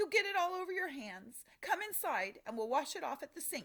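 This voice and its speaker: The speaker puts on a character voice that is raised and projected. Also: female-sounding voice. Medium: read story. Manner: sneering, shrill.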